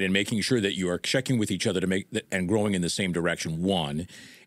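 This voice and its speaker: A man is speaking. Music plays in the background. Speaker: podcast host. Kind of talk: interview question.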